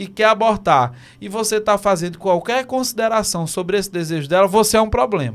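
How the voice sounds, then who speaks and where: In a very clean recording with a silent background, a man speaks at a moderate pace in a high pitch with lively intonation. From Teresina, Piauí, Brazil. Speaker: podcast co-host. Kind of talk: casual chat. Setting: studio.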